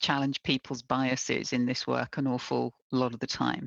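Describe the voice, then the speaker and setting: Against a quiet background, a woman with a very deep, low pitch comes through in a dry, close sound with no echo. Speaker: diversity and inclusion expert. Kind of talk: interview, professional conversation. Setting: video call, remote. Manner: enthusiastic, animated.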